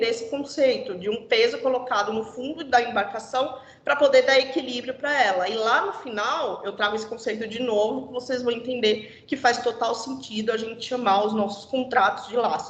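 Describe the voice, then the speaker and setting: A high-pitched woman talks at a moderate pace with ordinary pitch variation and hardly any pauses. Audible room echo and noticeable background noise surround her voice. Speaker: corporate trainer. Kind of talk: internal presentation.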